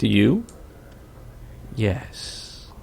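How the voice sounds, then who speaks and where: Soft-spoken, a man puts on a character voice over clear background noise. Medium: actual play. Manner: distant.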